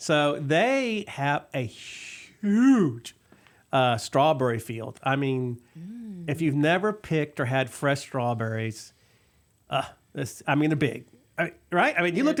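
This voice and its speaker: In a Texas accent, a man speaks at a very slow pace with lively intonation and a fairly high pitch. The recording is very clean, with a silent background. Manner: casual, chatty, lots of fillers.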